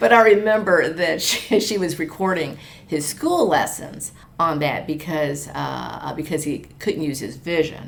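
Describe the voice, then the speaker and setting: With vocal fry and a very deep, low pitch, a woman talks at a fairly slow pace amid audible room echo. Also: ordinary pitch variation. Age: 60s. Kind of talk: interview. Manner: halting, many fillers; conversational.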